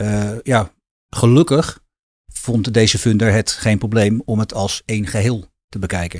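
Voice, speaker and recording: At a moderate pace, a man speaks in a fairly low, somewhat breathy voice with ordinary pitch variation, the sound dry and close with no echo. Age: 50s. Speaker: financing specialist, co-founder. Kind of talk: interview. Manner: halting, many fillers and repetitions.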